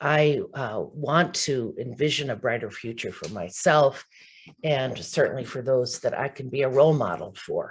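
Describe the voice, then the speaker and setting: She has a very deep, low voice and lively intonation. The woman speaks at a moderate pace and sounds somewhat breathy. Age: 70s. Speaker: spina bifida association member and speaker. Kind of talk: virtual event talk. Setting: video call.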